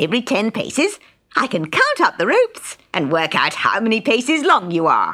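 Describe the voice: Someone reads the text aloud plainly.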